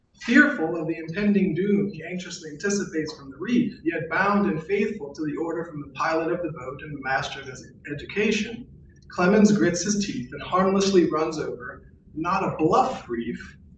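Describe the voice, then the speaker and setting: A man with a high pitch and lively intonation shows big swings in loudness, with audible room echo and noticeable background noise. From US South, New Orleans. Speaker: philosophy professor. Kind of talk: lecture. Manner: formal.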